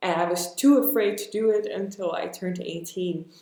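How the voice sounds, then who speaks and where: Audible room echo surrounds a woman's voice. She speaks at a moderate pace with lively intonation. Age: 20s. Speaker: actress. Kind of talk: podcast interview.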